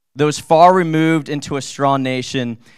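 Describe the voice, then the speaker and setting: A man talks with ordinary pitch variation in a quiet background. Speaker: pastor. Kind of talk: testimony. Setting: church. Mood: earnest, emotional. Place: church. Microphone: handheld.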